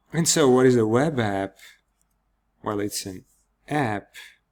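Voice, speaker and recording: A man in a Georgian accent at a very slow pace on a very clean recording with a silent background. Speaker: software developer. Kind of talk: product demo. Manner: casual with fillers.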